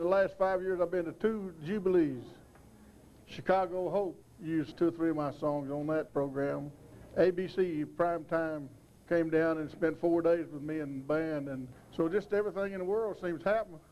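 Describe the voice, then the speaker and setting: In a West Texas accent, a man talks with a high pitch, a dark, mellow tone and fairly even intonation. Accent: West Texas drawl. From West Texas, Lamesa. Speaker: country singer and yodeler. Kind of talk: documentary interview.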